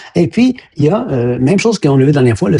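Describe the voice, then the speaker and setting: A man with a Quebec accent, somewhat breathy, dark and mellow in tone, at a fairly quick pace. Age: 60s. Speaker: health educator, former science teacher. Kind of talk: educational monologue. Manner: hesitant, many fillers and repetitions.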